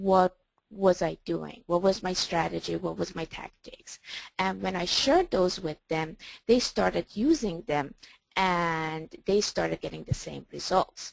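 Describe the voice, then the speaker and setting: This woman talks fairly slowly with a non-native accent. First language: not English. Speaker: trading coach. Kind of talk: webinar presentation. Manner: hesitant, with fillers.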